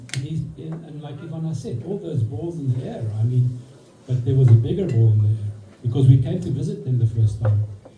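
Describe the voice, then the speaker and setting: A man talks at a fairly quick pace with medium pitch, his loudness swinging widely, while audible room echo and noticeable background noise fill the recording. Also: lively intonation. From South Africa. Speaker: friend giving a speech. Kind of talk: birthday speech. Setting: party with audience.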